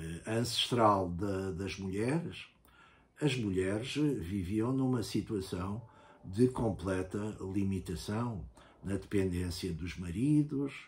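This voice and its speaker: A somewhat breathy man's voice, fairly low in pitch, with lively intonation at a very slow pace. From Portugal. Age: 70s. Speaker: university professor and writer, former political prisoner. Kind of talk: interview. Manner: hesitant, many filler sounds.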